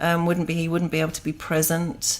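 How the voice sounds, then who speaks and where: With an English accent, a woman speaks in a fairly low pitch. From England. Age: 50s. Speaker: yoga teacher. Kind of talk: interview, personal story.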